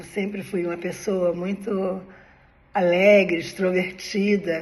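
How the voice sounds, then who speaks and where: A somewhat breathy woman with a medium pitch speaks at a very slow pace amid audible room echo. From Brazil, Rio de Janeiro (Ipanema). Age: 70s. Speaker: personal storyteller, former spiritist. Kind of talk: personal life story monologue. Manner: conversational, informal.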